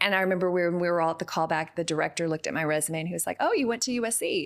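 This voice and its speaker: A woman's fairly low voice with a Texan accent at a very fast pace, on a very clean recording with a silent background. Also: ordinary pitch variation. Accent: Texan accent, now embraced. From Texas. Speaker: actress. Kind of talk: interview. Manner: animated.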